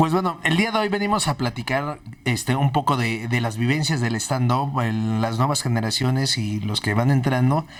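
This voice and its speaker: A man has an ordinary speaking voice at medium pitch with lively intonation. He goes at a moderate pace with hardly any pauses. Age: 30s. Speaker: podcast host. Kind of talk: casual interview chat.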